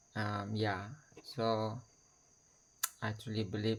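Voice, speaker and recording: Male speech in a non-native accent. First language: not English. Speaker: video blogger. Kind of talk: personal video message. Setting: talking to camera. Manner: slow; halting.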